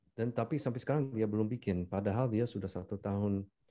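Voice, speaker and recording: With an English accent, a man talks at a very fast pace. His tone is dark and mellow, with fairly even intonation. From United States. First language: English (speaking Indonesian). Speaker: business founder and podcaster. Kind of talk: casual chat. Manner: halting, mixes in English.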